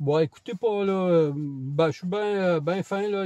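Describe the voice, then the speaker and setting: Recorded with a dry, close sound and no echo, a man with a high pitch and a dark, mellow tone speaks at a fairly slow pace with ordinary pitch variation. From Quebec. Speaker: camera vlogger. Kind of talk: casual vlog monologue. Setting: outdoors on a walk. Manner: hesitant, many fillers.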